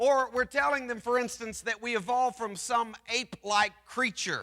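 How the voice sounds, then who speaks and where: With a raised, projected voice pitched extremely high, a man speaks at a moderate pace and with fairly even intonation. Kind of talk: church presentation. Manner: loud.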